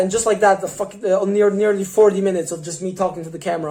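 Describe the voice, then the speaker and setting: The pace is very fast. Noticeable background noise runs underneath. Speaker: YouTuber, music reviewer. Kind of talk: casual monologue to camera. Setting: on camera. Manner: halting, many fillers.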